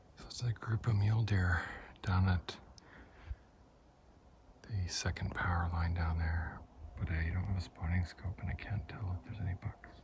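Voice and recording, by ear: A man with a low pitch and slightly mellow tone speaks at a moderate pace with fairly even intonation and long, frequent pauses.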